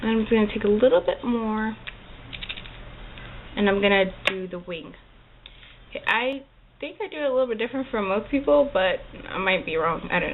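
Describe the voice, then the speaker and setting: With noticeable background noise behind her, a woman talks fairly quickly in a fairly high voice with lively intonation and long, frequent pauses. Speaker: makeup tutorial creator. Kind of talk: makeup tutorial talk to camera. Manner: casual, chatty.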